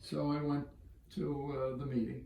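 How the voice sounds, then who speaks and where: In an American accent, the speaker talks with audible room echo. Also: man. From Boston area, Massachusetts. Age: 70s. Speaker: business executive and philanthropist. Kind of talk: interview storytelling.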